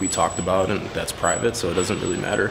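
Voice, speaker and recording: A man talks while clear music sounds behind him. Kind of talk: interview answer. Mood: subdued, emotional. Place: hall. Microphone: handheld.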